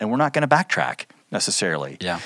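In a very clean recording with a silent background, a man with an American accent and an unremarkable speaking voice talks at a fairly quick pace with ordinary pitch variation. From Oklahoma. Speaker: church staff director, former lawyer. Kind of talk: podcast interview.

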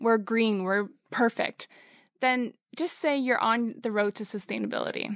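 On a very clean recording with a silent background and a dry, close sound with no echo, a woman speaks at a moderate pace. Hers is a plain, everyday voice, fairly high in pitch, with ordinary pitch variation. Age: 20s. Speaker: model and sustainability platform co-founder. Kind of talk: interview. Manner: casual, with frequent fillers.

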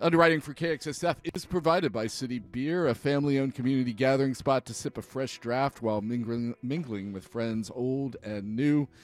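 With hardly any pauses, a man speaks at a moderate pace and medium pitch with ordinary pitch variation. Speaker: radio host. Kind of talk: live radio dj patter, station IDs and music intros. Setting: radio studio broadcast. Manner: relaxed, rambling, warm and enthusiastic, with laughs and self-corrections.

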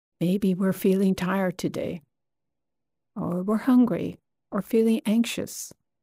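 A woman speaks in a medium pitch with a dark, mellow, somewhat breathy, soothing tone and fairly even intonation. Her fairly slow delivery has long, frequent pauses, with a dry, close sound, no echo, on a very clean recording with a silent background. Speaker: meditation teacher. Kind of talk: gentle guided breath-awareness meditation. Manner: slow, soothing, with long pauses; soft-spoken, kind and nonjudgmental.

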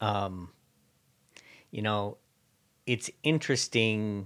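On a very clean recording with a silent background, a man speaks in a fairly low voice with ordinary pitch variation. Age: 50s. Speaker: tech podcast co-host. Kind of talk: casual chat.

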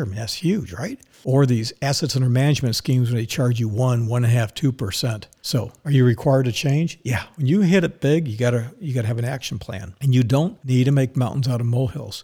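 A very fast, medium-pitched male voice, somewhat breathy and dark and mellow in tone, with ordinary pitch variation and hardly any pauses, on a very clean recording with a silent background. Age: old. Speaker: financial advisor and podcast host. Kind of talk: opinionated monologue.

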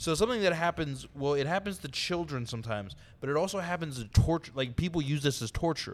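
A man with an American accent talks very fast at a fairly high pitch. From US West Coast, San Diego. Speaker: stand-up comedian. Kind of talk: casual chat.

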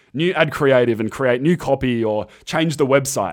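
A man in an Australian accent, medium in pitch with ordinary pitch variation, at a fairly quick pace. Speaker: podcast host, ecommerce entrepreneur. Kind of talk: solo monologue podcast. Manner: casual, conversational.

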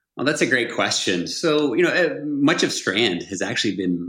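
There is audible room echo around the speaker. A man with an American accent talks in a bright, sharp tone. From US South, Georgia (Augusta). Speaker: pharmacist and health tech entrepreneur. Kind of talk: interview conversation.

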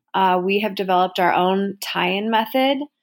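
A woman speaks in a normal speaking voice at medium pitch and a moderate pace, on a very clean recording with a silent background. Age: 30s. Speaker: entrepreneur. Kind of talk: interview.

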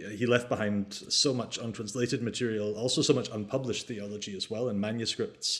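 With a Scottish accent, a man talks at a fairly quick pace. His medium pitch stays fairly even in intonation. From Scottish Highlands. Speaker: theology lecturer. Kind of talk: interview.

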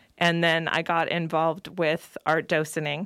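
A woman's fairly low voice with an American accent on a very clean recording with a silent background. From California (Salinas). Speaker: poet and creative writing teacher. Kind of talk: interview.

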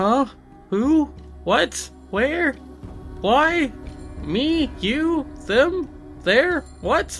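Clear music plays in the background while someone speaks at a very slow pace. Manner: confused, flippant.

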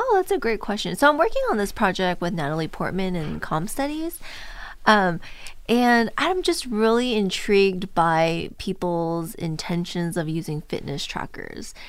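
Speaking with a Californian accent, a woman keeps a moderate pace. Her intonation is lively. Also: medium pitch for a woman. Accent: Californian American. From Southern California, Orange County. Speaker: assistant professor. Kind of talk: casual interview.

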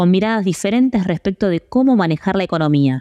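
A dark, mellow tone and a dry, close sound with no echo frame a woman at a medium pitch, who talks at a fairly quick pace with ordinary pitch variation. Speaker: podcast narrator and producer. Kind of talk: scripted narration.

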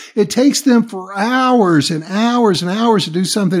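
With a Southern US accent, a man speaks at a moderate pace with ordinary pitch variation on a very clean recording with a silent background. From US South. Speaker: leadership coach and podcaster. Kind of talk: casual interview. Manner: relaxed, folksy.

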